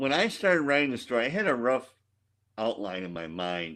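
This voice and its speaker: Over a quiet background, a man with an American accent talks at a fairly quick pace in a bright, sharp tone, his pitch swinging very widely. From Chicago, South Side. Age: 60s. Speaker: author. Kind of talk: interview conversation.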